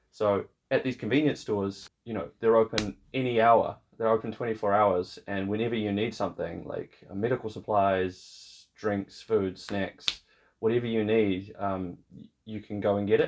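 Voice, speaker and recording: The speaker has a New Zealand accent. The intonation stays fairly even while the loudness swings a lot. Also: man, fairly low pitch for a man, moderate pace. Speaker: vlogger. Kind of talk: casual vlog talk.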